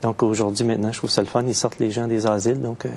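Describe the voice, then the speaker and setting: A man with a Quebec accent talks at a very fast pace in a monotone, flat intonation. Noticeable background noise runs underneath. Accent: Québécois. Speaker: poet. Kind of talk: interview. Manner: hesitant, many fillers.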